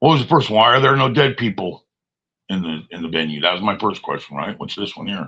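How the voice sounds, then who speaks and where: A man's bright, sharp tone with vocal fry, very wide pitch swings and a fairly quick pace. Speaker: live streamer. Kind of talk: casual live stream monologue.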